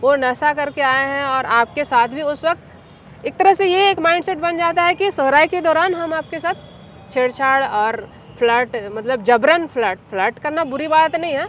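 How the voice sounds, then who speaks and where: A woman at a high pitch and moderate pace with hardly any pauses, over noticeable background noise. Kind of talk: interview answer. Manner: assertive, outspoken.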